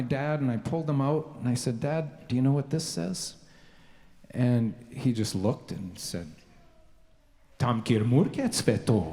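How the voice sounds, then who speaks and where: A somewhat breathy man with a Canadian accent at a fairly slow pace. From Canada (Victoria, British Columbia). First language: Slovenian. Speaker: composer. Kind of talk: speech to a concert audience. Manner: halting, many fillers.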